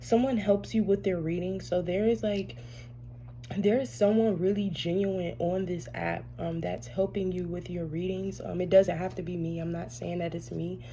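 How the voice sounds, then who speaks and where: A soft-spoken woman talks in a space with audible room echo. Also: moderate pace. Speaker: tarot reader. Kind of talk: casual spiritual reading monologue. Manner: halting, many fillers.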